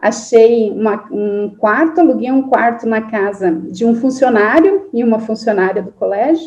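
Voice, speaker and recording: A woman speaks with a strong southern Brazilian accent in a fairly high, somewhat breathy voice. Her pace is fairly slow with hardly any pauses, and her intonation is lively. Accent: strong southern Brazilian interior. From Santa Catarina interior, Brazil (near Paraná border). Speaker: forestry engineering professor. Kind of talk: interview.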